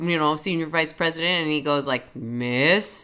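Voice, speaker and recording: Her tone is bright and sharp, while the woman's pitch is very deep and low. She speaks at a fairly slow pace. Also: very clean recording, silent background. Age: 20s. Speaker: podcast co-host. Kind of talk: casual chat. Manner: laughs often.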